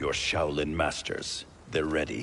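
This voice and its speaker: Over clear background noise, a man in a put-on character voice speaks at a fairly slow pace with a very deep, low pitch. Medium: video game. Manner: stern, clipped.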